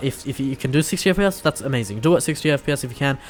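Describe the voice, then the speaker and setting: With ordinary pitch variation and a fairly high pitch, a man talks at a very fast pace. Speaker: gaming YouTuber. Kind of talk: solo video commentary. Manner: halting, many fillers and restarts.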